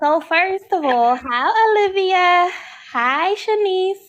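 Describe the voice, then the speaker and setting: A woman with an American accent speaks very slowly at an extremely high pitch. Her intonation is lively, and her loudness stays very even. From Philadelphia, US. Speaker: caller. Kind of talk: casual chat.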